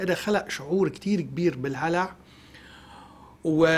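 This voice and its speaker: Pitched high for a man, his voice moves at a moderate pace and shows ordinary pitch variation. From Lebanon. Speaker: economist, professor; guest. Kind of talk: TV news interview. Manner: hesitant fillers. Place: studio. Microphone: lapel.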